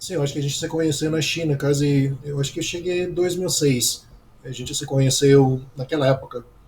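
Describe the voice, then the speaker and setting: Noticeable background noise sits behind the voice. A man speaks with fairly even intonation. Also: fairly high pitch for a man, fairly quick pace. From United States. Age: 40s. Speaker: business analyst and former English teacher. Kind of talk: interview.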